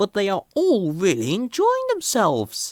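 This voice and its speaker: At a moderate pace, a man puts on a character voice pitched high. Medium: read story.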